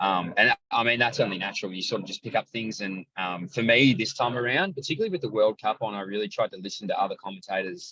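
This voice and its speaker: At a fairly quick pace, a man talks with an Australian accent in a dry, close sound with no echo. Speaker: athletics commentator. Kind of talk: casual chat. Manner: loud.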